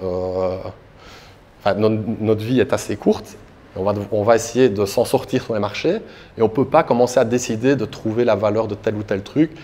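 With a dark, mellow tone and fairly low pitch, a man speaks at a moderate pace with fairly even intonation and long, frequent pauses. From Belgium, Liège; Belgium. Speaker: crypto asset manager and conference speaker; conference speaker. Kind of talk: conference talk. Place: hall. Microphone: handheld.

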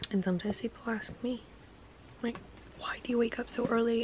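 A woman at a moderate pace, monotone and flat in intonation, over light background noise. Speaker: lifestyle vlogger. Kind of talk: casual vlog talk. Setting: in a car. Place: home room. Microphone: phone near.

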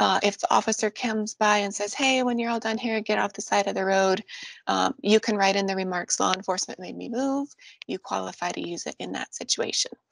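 At a fairly quick pace, a woman speaks with ordinary pitch variation in a dry sound with no echo. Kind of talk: explainer talk to drivers. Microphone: webcam.

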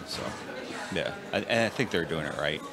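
A man is talking while noticeable background noise carries on behind him. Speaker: co-interviewer. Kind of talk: interview.

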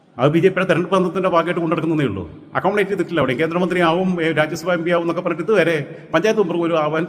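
Noticeable background noise runs behind a man speaking at a high pitch. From Kerala, Malappuram district (Manjeri). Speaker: political commentator. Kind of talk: political monologue. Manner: animated.

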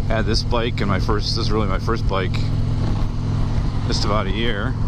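The recording has a dry sound with no echo and loud background noise. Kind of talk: casual motovlog chat. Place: motorbike.

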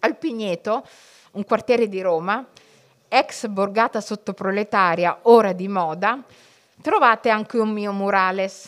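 Over a quiet background, a woman speaks at a medium pitch and a fairly slow pace, with ordinary pitch variation and long, frequent pauses. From Italy, Somali family background. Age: 40s. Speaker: writer and journalist; journalist. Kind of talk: public talk to school students. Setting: library event with live audience, streamed. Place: hall. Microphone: podium.

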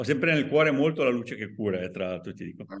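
This man's voice carries vocal fry. His pitch swings very widely. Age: 60s. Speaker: podcast host and author; podcast host. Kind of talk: interview. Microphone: video call.

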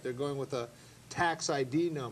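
Noticeable background noise fills the recording. A man speaks through it at a moderate pace. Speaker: panelist. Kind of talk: panel discussion. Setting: studio. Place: studio. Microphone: lapel.

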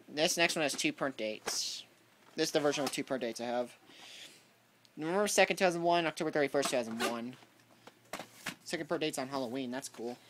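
A very fast pace over noticeable background noise. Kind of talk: casual show-and-tell commentary. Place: home room. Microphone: phone near.

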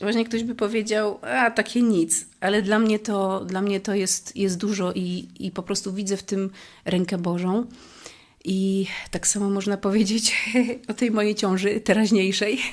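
Her pitch at medium height, a woman speaks at a fairly slow pace with fairly even intonation. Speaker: church member. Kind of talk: testimony. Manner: halting.

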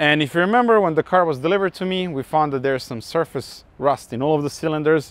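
The sound is dry with no echo as a man rattles along at a very fast pace. His pitch variation is ordinary. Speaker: car restoration host. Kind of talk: casual vlog intro. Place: street.

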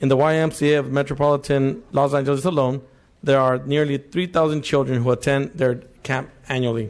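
A man's voice at a moderate pace, with fairly even intonation. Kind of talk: formal bill presentation. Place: hall. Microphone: podium.

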